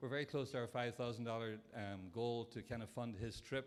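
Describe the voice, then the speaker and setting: This man has a non-native accent and a medium pitch. He speaks at a fairly quick pace. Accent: foreign accent, noticeable. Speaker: Rotary club member. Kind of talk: speech at a breakfast event.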